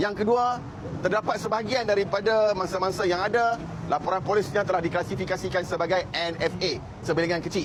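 Against noticeable background noise and audible room echo, a high-pitched man speaks fairly quickly with fairly even intonation and very even loudness. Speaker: NGO official at press conference. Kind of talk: press conference statement. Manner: formal.

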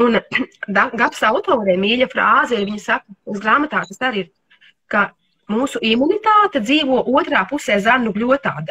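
Speaking over a quiet background, a woman with a high voice uses lively intonation and big swings in loudness. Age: 50s. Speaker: homeopath and nutrition therapist; livestream host on nutrition. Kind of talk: casual interview.

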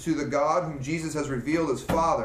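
Speech at a fairly quick pace comes with audible room echo and light background noise. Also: man. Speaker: class teacher. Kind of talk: reading aloud in a lecture. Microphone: camera far.

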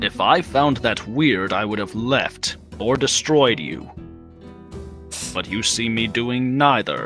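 With clear music in the background, a man uses a put-on character voice at medium pitch and a fairly slow pace. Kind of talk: roleplay character acting. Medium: machinima. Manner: composed, formal, condescending yet warming.

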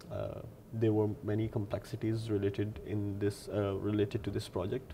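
Over light background noise, a man with a fairly low pitch and a dark, mellow tone speaks at a moderate pace, somewhat breathy and in a monotone, flat intonation. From Lahore, Pakistan. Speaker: PhD researcher in computational fluid dynamics. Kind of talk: technical research explanation to camera. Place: office. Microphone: lapel.

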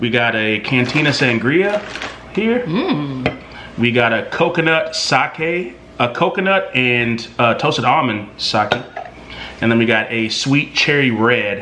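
Over light background noise, a man speaks at a fairly slow pace with lively intonation. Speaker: vlogger host. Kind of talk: casual vlog chat. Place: home room. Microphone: camera far.

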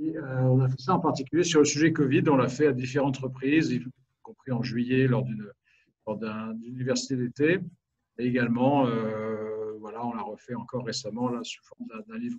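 In a normal speaking voice, a man talks at a medium pitch and moderate pace with fairly even intonation against a quiet background. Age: 50s. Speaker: business owner and think tank president. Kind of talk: webinar presentation. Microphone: video call.

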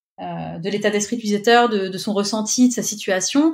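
This woman has an ordinary speaking voice at a medium pitch, with ordinary pitch variation and a moderate pace. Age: 30s. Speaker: UX writer. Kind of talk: interview. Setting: remote recording.

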